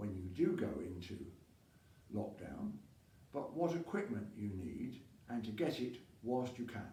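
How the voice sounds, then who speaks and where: A man speaks fairly slowly at a medium pitch, his voice somewhat breathy with a dark, mellow tone. His pitch swings very widely, and he takes long, frequent pauses. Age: 80s+. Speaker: masters rower. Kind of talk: casual talk to camera.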